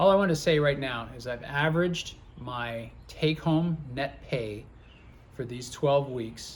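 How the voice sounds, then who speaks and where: A man talks in a somewhat breathy voice with ordinary pitch variation. Room echo is audible. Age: 50s. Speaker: truck driver and channel co-host. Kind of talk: casual chat. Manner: halting, repeats words.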